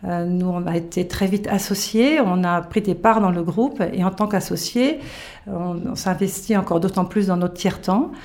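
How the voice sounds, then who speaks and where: Noticeable background noise sits behind a woman of medium pitch who talks at a fairly slow pace with ordinary pitch variation. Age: 50s. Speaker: retail business owner. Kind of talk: interview. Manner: hesitant, with frequent fillers.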